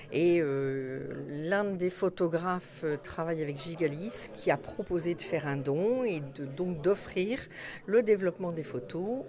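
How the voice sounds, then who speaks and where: A woman speaks fairly slowly in an ordinary speaking voice, her pitch fairly low. Her intonation is lively. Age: 60s. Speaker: hospital nurse manager. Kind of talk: interview. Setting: photo exhibition opening.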